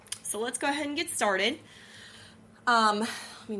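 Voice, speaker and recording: A woman with a fairly high pitch talks at a moderate pace, her pitch variation ordinary. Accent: slight Southern US. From Missouri. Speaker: podcast host. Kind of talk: casual monologue. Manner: chatty, lots of fillers.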